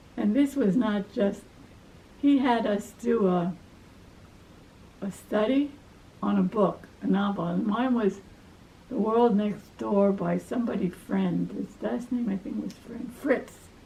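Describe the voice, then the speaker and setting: With a Brooklyn accent, a woman speaks with long, frequent pauses. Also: medium pitch for a woman, ordinary pitch variation, fairly slow pace. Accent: Brooklyn New York. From New York, Brooklyn. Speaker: life story interviewee, retired academic. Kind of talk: family life story interview.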